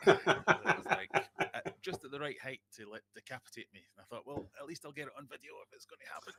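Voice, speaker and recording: A man talks at a very fast pace in a Glaswegian accent. The sound is dry and close, with no echo. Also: big swings in loudness. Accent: Glaswegian Scottish. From Scotland, Glasgow. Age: 40s. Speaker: aquarium YouTuber. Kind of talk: casual chat.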